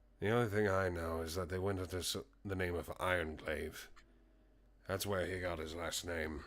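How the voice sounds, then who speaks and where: The speaker uses a put-on character voice at a moderate pace. The recording is very clean, and the background is silent. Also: man, very deep, low pitch for a man. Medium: actual play. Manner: grumbling, cranky.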